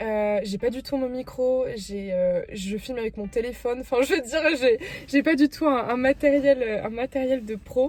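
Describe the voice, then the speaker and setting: A woman speaks at a high pitch and a moderate pace. Her pitch varies in an ordinary way amid noticeable background noise. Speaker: vlogger. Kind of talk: casual vlog talk to camera. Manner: hesitant, many fillers.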